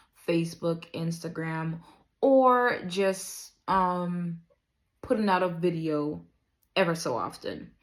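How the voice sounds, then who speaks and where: The speaker has an American accent and talks very slowly. The recording is very clean, with a silent background. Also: woman, fairly low pitch for a woman, ordinary pitch variation. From Dominica. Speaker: vlogger. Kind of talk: casual monologue. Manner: hesitant, many fillers.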